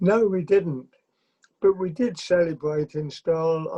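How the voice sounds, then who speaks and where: A man with an English accent at a fairly slow pace, dark and mellow in tone, the sound dry and close with no echo. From England. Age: 70s. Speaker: interview guest recounting his life. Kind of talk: interview. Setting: video call. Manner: halting. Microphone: connection issues.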